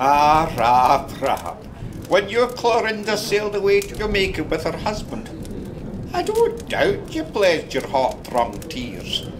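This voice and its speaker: The speaker has an Ayrshire accent and a fairly slow pace. Pitch swings very widely, and background noise is noticeable. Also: man, high pitch for a man. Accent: Scottish, Ayrshire. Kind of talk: period audio drama narration, fireside storytelling. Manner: warm, conversational, unhurried storyteller.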